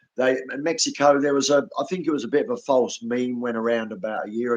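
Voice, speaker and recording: Ordinary pitch variation marks this man's speech, delivered in an Australian accent. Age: 60s. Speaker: animal rights activist. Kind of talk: live stream conversation. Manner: halting, repeats words.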